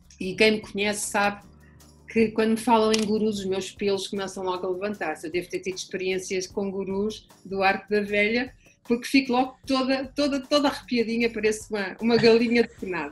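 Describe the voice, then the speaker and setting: A woman's fairly high, somewhat breathy voice at a fairly quick pace, with ordinary pitch variation. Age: 60s. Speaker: family constellations therapist. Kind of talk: interview.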